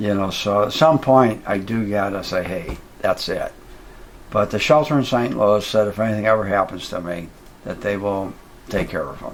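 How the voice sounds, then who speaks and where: Fairly low-pitched male speech at a moderate pace with ordinary pitch variation, over noticeable background noise. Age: 70s. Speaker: roadside attraction owner, animal rescuer. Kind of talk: casual interview. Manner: hesitant, many fillers.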